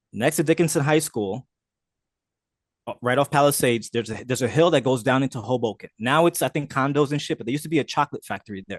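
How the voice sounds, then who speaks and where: Against a quiet background, a man with a New Jersey accent talks at a very fast pace with ordinary pitch variation. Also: dry, close sound with no echo. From New Jersey, Jersey City. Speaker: street photographer. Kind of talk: casual chat.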